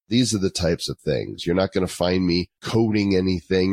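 A man's very deep, low voice at a moderate pace, dry and close with no echo. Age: 50s. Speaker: entrepreneur. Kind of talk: interview.

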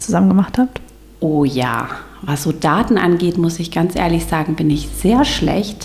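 The speech moves at a fairly slow pace with lively intonation. Noticeable background noise runs underneath. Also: woman, fairly low pitch for a woman. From northern Germany, Stormarn district. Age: 30s. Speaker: special-needs teacher and children's church volunteer. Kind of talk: casual interview chat.

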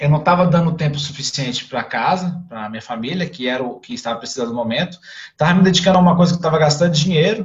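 Talking at a very fast pace, a man uses lively intonation and big swings in loudness. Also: fairly high pitch for a man. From Brasília, Brazil. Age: 30s. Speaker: father telling his story. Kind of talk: casual interview. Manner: halting, many fillers.

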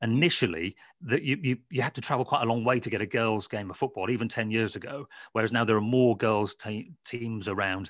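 Speaking at a fairly quick pace, a man keeps a medium pitch. His pitch variation is ordinary. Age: 40s. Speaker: football author. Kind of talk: interview. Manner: halting.

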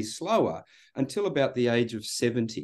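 Against a quiet background, a man with an Australian accent speaks with lively intonation. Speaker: psychology researcher and coach. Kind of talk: casual chat. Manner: halting, repeated words.

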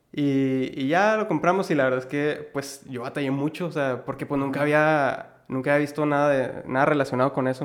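This man has an unremarkable speaking voice, talking fairly quickly at a fairly high pitch with fairly even intonation. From Mexico, Ciudad Juárez (Chihuahua). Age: 20s. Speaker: entrepreneur, clothing customization business owner. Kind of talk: casual interview chat.

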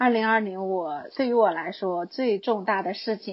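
This is a normal speaking voice moving at a fairly slow pace. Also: woman. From Guangshan, Henan, China. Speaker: high school teacher. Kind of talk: recorded personal year-end monologue.

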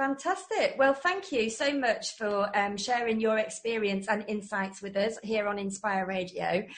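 Somewhat breathy and fairly high in pitch, a woman speaks at a fairly slow pace with an English accent, ordinary pitch variation and hardly any pauses. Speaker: radio host. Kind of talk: interview. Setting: radio studio with video link.

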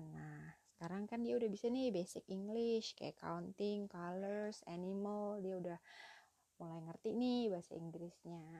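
A woman's medium-pitched voice with a dark, mellow tone, ordinary pitch variation and a fairly slow pace. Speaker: podcaster and mother sharing parenting tips. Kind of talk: solo monologue podcast. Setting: late-night home recording. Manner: casual, chatty.

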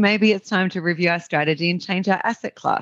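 Against a quiet background, a woman of medium pitch speaks with an Australian accent. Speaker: real estate investor and business owner. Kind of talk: interview conversation. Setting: remote call, different time zone.

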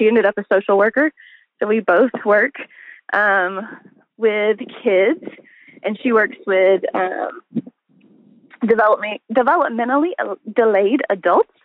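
With a Southern US accent, a woman speaks at a fairly slow pace. She leaves long, frequent pauses. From US South, Arkansas. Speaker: teacher. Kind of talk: interview. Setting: phone call.

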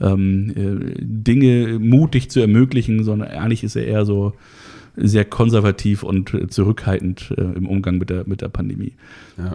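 A man with an ordinary speaking voice, fairly low in pitch, ordinary pitch variation, and a fairly slow pace. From Hamburg-Harburg, northern Germany. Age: 30s. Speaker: event technician and industry association founder. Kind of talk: interview. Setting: studio.

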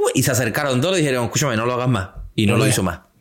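His pitch sits in the medium range. A man is talking, and his pitch moves in an ordinary way. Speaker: motorcycle podcast co-host. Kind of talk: casual chat.

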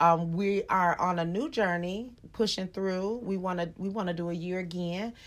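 At a medium pitch, a woman speaks at a moderate pace. Her tone is animated and playful. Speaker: podcast co-host, mother. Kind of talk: casual chat. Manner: animated, playful.

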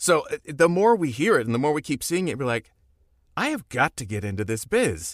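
With an American accent, a man talks at a fairly quick pace and a fairly high pitch, with very wide pitch swings and vocal fry, in a dry, close sound with no echo on a very clean recording with a silent background. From Orlando, Florida, then Los Angeles from age sixteen. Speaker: voice actor and stuntman. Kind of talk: casual interview. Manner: animated.

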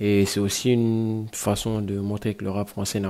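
A man with a dark, mellow tone speaks at a fairly slow pace with monotone, flat intonation on a very clean recording with a silent background. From Guinea. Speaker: rapper. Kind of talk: interview. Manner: hesitant with fillers.

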